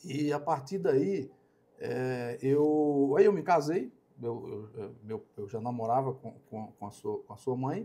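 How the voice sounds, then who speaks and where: Very slow speech with lively intonation. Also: man, medium pitch for a man, big swings in loudness. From Brazil, Alagoas interior. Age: 60s. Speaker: company operations director. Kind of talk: podcast interview. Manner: halting, with many fillers and repetitions.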